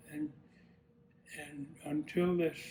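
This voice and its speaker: The speaker has an American accent and talks at a very slow pace with monotone, flat intonation. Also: man. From US South, Georgia. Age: 80s+. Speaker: retired air force general. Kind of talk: interview testimony. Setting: at home. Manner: halting, many repetitions.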